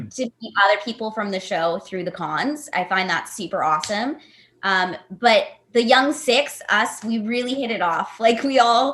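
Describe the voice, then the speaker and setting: A woman has a plain, everyday voice at a fairly high pitch. Her intonation is lively. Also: moderate pace. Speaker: voice actor. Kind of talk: casual panel conversation.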